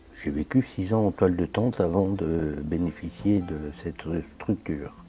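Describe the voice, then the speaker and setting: A man's very deep, low voice, dark and mellow, somewhat breathy, at a fairly slow pace with ordinary pitch variation. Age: 60s. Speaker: formerly homeless man. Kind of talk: interview. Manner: hesitant.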